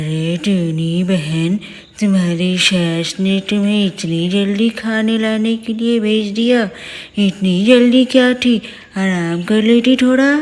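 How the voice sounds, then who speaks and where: Using a cartoonish character voice, a female-sounding speaker talks at a very slow pace and a medium pitch for a woman. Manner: familiar, chatty.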